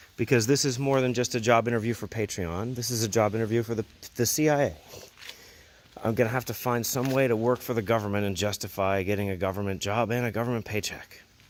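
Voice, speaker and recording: With an American accent and a medium pitch, a man talks at a very fast pace with fairly even intonation over noticeable background noise. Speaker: motorcycle vlogger. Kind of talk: vlog monologue. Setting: outdoors at night.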